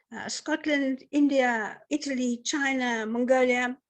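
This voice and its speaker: A woman talks at a very slow pace and a high pitch against a quiet background. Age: 70s. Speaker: sustainability consultant and speaker. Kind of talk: conference talk.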